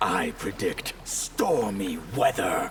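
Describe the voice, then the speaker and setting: Over clear background noise, a man performs in a put-on character voice. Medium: video game. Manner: measured, solemn.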